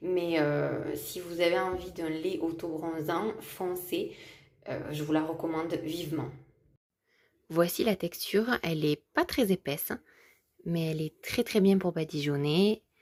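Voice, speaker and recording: A woman talks at a very slow pace with long, frequent pauses. Her intonation stays fairly even. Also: fairly low pitch for a woman. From South of France. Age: 20s. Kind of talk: casual vlog talk to camera.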